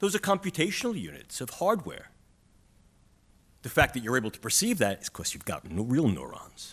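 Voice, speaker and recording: With a strong New York accent, a man talks in vocal fry as his pitch swings very widely. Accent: New York City, strong. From New York City. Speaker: neuroscience professor. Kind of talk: conference panel talk.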